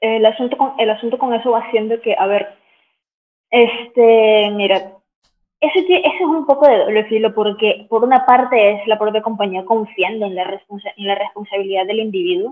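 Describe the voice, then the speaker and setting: A woman's fairly high voice at a moderate pace, ordinary pitch variation, a normal speaking voice. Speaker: film analyst and YouTuber. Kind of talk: interview.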